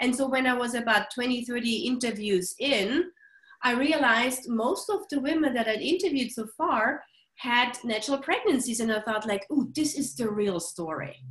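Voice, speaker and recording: A woman with a non-native accent speaks in a high pitch with lively intonation. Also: moderate pace. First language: not English. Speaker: author and journalist. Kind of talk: interview. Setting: call. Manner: passionate, animated.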